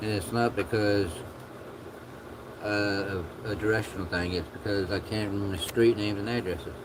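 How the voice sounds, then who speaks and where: Soft-spoken and mumbling, a man with a fairly low pitch talks at a moderate pace in monotone, flat intonation with long, frequent pauses, and audible room echo. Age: 50s. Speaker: livestreamer. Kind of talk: casual chat. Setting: livestream.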